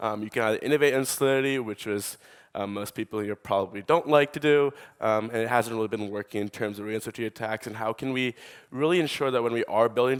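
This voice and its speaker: A man with a New York accent at a very fast pace, dry and close with no echo, on a very clean recording with a silent background. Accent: New York American. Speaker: startup co-founder. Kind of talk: conference talk.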